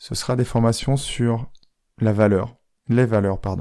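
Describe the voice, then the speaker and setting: Soft-spoken, the voice has a dark, mellow tone and fairly even intonation. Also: man. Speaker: life coach, podcaster. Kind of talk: podcast monologue. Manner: soft, intimate.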